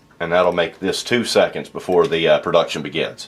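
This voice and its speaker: A man speaks in a relaxed tone at a moderate pace, with noticeable background noise. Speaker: voice actor. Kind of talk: casual tutorial talk to camera. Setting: home studio. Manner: casual, relaxed.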